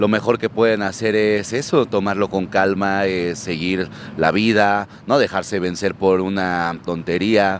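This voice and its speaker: An unremarkable speaking voice from a man, fairly low in pitch with fairly even intonation. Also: fairly slow pace. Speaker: rock bassist. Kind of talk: street interview.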